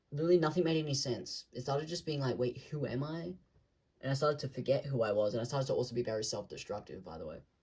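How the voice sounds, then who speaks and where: This man talks at a very fast pace with lively intonation. His pitch is medium and his voice is somewhat breathy. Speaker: vlogger. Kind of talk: casual monologue to camera. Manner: rambling, searching for words.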